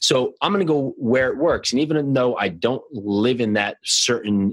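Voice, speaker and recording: This man's voice sits at a medium pitch, an unremarkable speaking voice. He speaks at a moderate pace. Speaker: podcast co-host. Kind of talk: interview.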